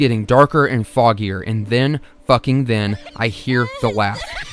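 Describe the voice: Reading aloud, plainly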